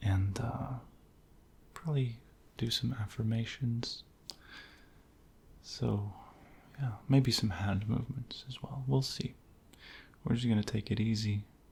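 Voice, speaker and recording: A soft-spoken, somewhat breathy man with a calm tone, medium pitch and fairly even intonation, at a fairly slow pace with long, frequent pauses. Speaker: ASMR creator. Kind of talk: soft-spoken ASMR affirmations. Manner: soft-spoken, calm.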